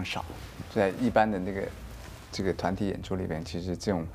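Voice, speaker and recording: With a very deep, low pitch, a man speaks in fairly even intonation. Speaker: dancer and choreographer. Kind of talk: interview.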